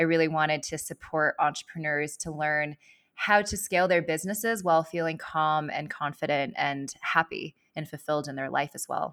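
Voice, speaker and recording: Speaking at a moderate pace with an American accent, a woman has a very deep, low pitch, fairly even intonation and big swings in loudness. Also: hardly any pauses, dry, close sound with no echo. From Los Angeles, California. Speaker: leadership advisor and former venture capitalist. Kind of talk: interview.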